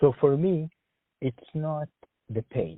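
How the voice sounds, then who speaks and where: This is a man speaking. He has an Arabic accent. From Sudan. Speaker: engineer job candidate. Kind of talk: job interview phone call.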